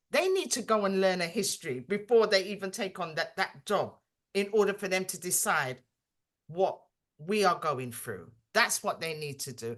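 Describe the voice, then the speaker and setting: At a moderate pace, a woman speaks at a medium pitch in a plain, everyday voice. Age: 60s. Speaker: Windrush compensation advocate. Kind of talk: video call discussion.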